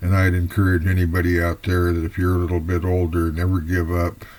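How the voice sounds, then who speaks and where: Speaking at a moderate pace, a man with a very deep, low voice sounds somewhat breathy. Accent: American. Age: 70s. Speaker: fiction writer. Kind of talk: personal introduction monologue. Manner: unscripted, slightly halting.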